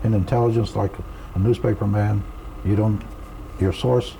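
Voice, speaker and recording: A man at a moderate pace and fairly low pitch, with noticeable background noise. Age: 80s+. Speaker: retired army officer, author. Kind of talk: interview. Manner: halting.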